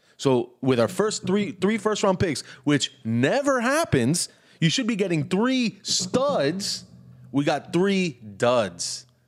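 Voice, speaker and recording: A man speaks very slowly at a high pitch, his pitch swinging very widely while his loudness stays very even. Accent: American. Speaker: podcast co-host, sports fan. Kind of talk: casual chat.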